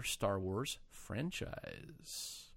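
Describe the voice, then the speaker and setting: A man with an American accent, recorded very cleanly against a silent background. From United States. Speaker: podcast host. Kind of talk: casual chat.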